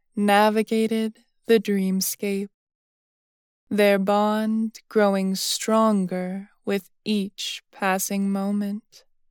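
A woman's gentle, calm tone at medium pitch, very slow and monotone with flat intonation, on a very clean recording with a silent background and a dry, close sound with no echo. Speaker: sleep story narrator. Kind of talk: soothing bedtime story read aloud to lull listeners to sleep. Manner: slow, gentle, hushed storytelling cadence; calm, soft-spoken and even.

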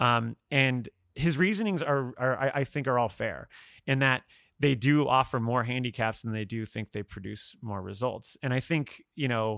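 This man has a fairly bright tone and medium pitch, with ordinary pitch variation. He speaks at a moderate pace with vocal fry.

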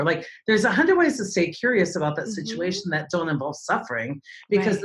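A woman is speaking. Her voice has a somewhat breathy quality. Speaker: podcast guest, stage speaker. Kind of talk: motivational, conversational. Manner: fast talker.

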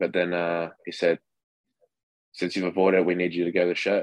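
Dry and close with no echo, a man with an Australian accent speaks at a fairly quick pace in a very deep, low pitch and a monotone, flat intonation. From Western Australia. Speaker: minor league baseball catcher. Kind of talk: interview. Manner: casual.

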